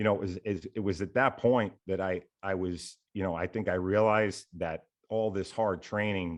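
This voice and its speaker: Against a quiet background, a man with an American accent speaks in a very deep, low pitch with fairly even intonation. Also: moderate pace. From New York City, the Bronx. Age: 40s. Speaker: FBI special agent, army veteran. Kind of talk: interview, telling life story. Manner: many fillers and repetitions.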